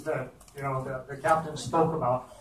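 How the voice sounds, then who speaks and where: A man speaks in monotone, flat intonation at a moderate pace. Audible room echo and light background noise surround him. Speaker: board member. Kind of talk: committee report at public meeting. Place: meeting room.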